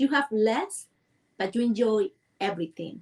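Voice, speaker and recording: A woman speaks in a Cuban accent at a moderate pace. Her pitch is fairly high, with ordinary variation. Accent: Cuban Spanish, rural small-town. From rural central Cuba, Villa Clara. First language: Spanish. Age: 40s. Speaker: dancer and movement coach. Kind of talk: interview. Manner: halting.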